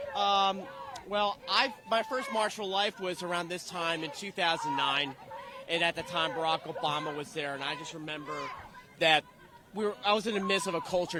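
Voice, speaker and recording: At a fairly quick pace, a man with a Philadelphia accent speaks at a high pitch while crowd noise carries in the background. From Philadelphia, US. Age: 30s. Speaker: pro-life activist. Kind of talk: street interview. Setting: outdoors at a protest march.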